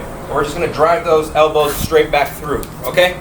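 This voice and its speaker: Energetic man's voice with audible room echo and noticeable background noise. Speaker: fitness instructor. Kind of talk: workout tutorial. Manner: energetic, encouraging; fast-paced.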